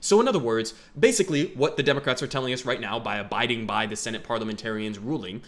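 This man's voice has a fairly bright tone and lively intonation.

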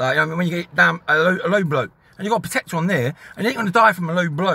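A man rattles off his words at a very fast pace in a bright, sharp tone. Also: dry sound with no echo. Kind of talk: casual vlog rant. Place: car. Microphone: phone near.

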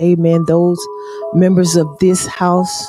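Faint music plays in the background as a woman with a fairly low pitch speaks in a dry sound with no echo. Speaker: church service host or leader. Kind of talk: church welcome and opening greeting. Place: church. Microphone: handheld.

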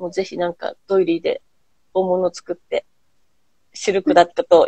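The sound is dry with no echo and a quiet background. The pace is fairly quick. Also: woman. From Japan. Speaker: host, handicraft business owner; host. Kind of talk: casual chat. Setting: Instagram live stream. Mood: warm, friendly. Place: home room. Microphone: earbuds.

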